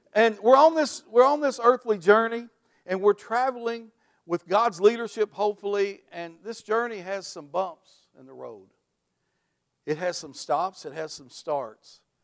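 A man speaks at a fairly slow pace and a high pitch. His intonation is lively, with big swings in loudness. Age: 60s. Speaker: pastor. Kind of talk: sermon. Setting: church.

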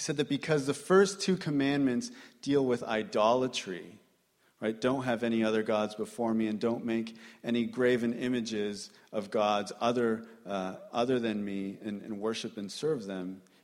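This man has a plain, everyday voice at a medium pitch. His pitch varies in an ordinary way, and he talks at a moderate pace. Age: 30s. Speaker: preacher. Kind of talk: sermon.

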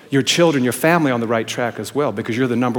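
A man speaks with a medium pitch and ordinary pitch variation. His delivery comes at a very fast pace. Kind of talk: sermon. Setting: church.

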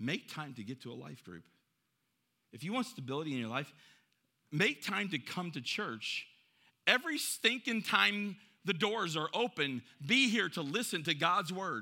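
In a very clean recording with a silent background, a man speaks at a moderate pace in a bright, sharp, animated tone with vocal fry, very wide pitch swings, big swings in loudness, and long, frequent pauses. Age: 50s. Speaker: pastor. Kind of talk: sermon.

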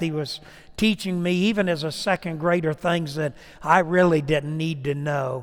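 A man's normal speaking voice, fairly high in pitch, with ordinary pitch variation and a fairly slow pace. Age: 60s. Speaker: preacher. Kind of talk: sermon with an altar-call invitation. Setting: church.

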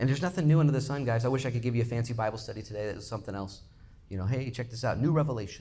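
A man talking at a very fast clip, animated and somewhat breathy, medium in pitch with lively intonation and audible room echo. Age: 40s. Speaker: pastor. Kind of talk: sermon.

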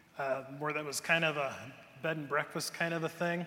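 With an American accent, a man speaks at a moderate pace in a fairly high, bright, sharp voice. His intonation stays fairly even. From US Midwest, Cleveland area, Ohio. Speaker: pastor. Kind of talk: sermon. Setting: church.

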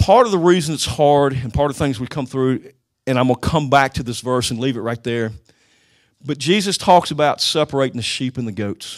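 A man speaks in an ordinary speaking voice at a medium pitch and a fairly quick pace, with ordinary pitch variation. The recording is very clean, with a silent background. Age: 50s. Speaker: retired police officer giving a church talk. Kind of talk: church teaching talk.

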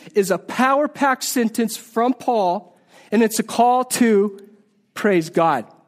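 A man speaks with an extremely high pitch and an animated tone. His pace is fairly slow and his pitch varies in an ordinary way. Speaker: Bible teacher. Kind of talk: sermon.

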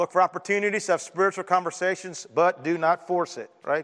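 Loud and animated, a man talks at a high pitch and a fairly quick pace. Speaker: pastor. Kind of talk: sermon. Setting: church.

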